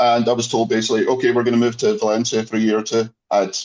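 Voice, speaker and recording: With a Scottish accent, a man of medium pitch speaks at a fairly quick pace. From Scotland, near Glasgow. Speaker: former researcher. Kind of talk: casual chat.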